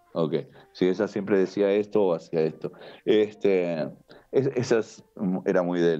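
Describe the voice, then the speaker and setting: Very deep and low in pitch, a man's dark, mellow voice moves at a fairly slow pace with long, frequent pauses and ordinary pitch variation. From Uruguay, Montevideo. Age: 60s. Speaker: karate teacher. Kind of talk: podcast interview. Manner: animated.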